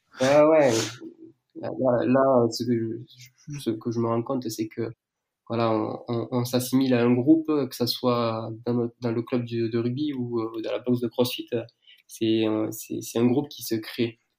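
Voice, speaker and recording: The voice has a dark, mellow tone and monotone, flat intonation. It moves at a very slow pace with long, frequent pauses. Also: man, medium pitch for a man. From southern France. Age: 20s. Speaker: fitness brand founder and coach. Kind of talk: casual interview. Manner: halting.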